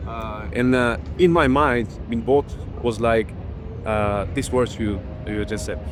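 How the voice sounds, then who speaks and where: Audible room echo and noticeable background noise around a man speaking at a moderate pace. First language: not English. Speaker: beatboxer. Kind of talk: interview. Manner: halting.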